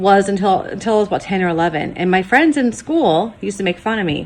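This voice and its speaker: This woman has an American accent. Her pitch is medium, with ordinary pitch variation. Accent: Michigan with some Appalachian. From Michigan, Detroit area. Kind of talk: casual talk to camera.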